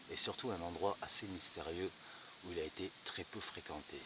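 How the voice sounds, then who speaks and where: A soft-spoken man at a moderate pace, very deep and low in pitch. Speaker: bushcraft vlogger. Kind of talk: outdoor vlog walkthrough. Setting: outdoors. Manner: casual.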